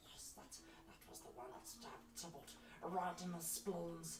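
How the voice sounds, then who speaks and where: A put-on character voice moves at a moderate pace. Clear background noise runs underneath. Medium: actual play. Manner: nervous, rambling.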